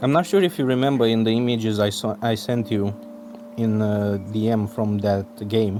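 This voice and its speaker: A man with a Romanian accent speaks over noticeable background noise. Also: medium pitch for a man, fairly even intonation, moderate pace. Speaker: artist. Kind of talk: casual chat.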